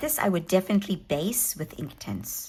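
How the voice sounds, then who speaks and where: A woman with a South African accent at a fairly slow pace, in a very clean recording with a silent background. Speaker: hobby craft YouTuber. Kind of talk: casual show-and-tell tutorial. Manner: hesitant, many fillers.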